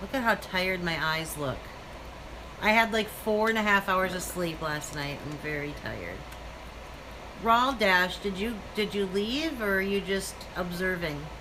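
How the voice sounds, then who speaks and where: Amid audible room echo and noticeable background noise, a woman with an American accent speaks at a fairly slow pace in a medium pitch, with ordinary pitch variation and long, frequent pauses. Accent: Minnesotan, noticeable to others. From Minnesota, Minneapolis area. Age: 30s. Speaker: live-stream vlogger. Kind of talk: casual live-stream chat. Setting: live stream with son, selfie stick.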